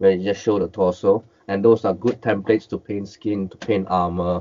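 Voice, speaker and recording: In a Cantonese accent, the speaker talks at a moderate pace with monotone, flat intonation. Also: man. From Malaysia. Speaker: miniature and collectible painter; interview guest. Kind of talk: interview, casual chat. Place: home room.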